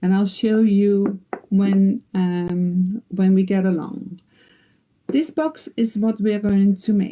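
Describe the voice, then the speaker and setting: A woman speaks at a very slow pace in a dark, mellow, somewhat breathy tone. Her loudness is very even, and her pitch varies in an ordinary way. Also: medium pitch for a woman. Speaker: quilter and box maker. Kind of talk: tutorial.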